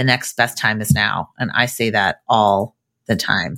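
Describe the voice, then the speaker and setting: In a very clean recording with a silent background, a woman with an American accent speaks at a fairly slow pace in a bright, sharp tone. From Massachusetts, US. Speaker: podcast host. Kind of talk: podcast interview.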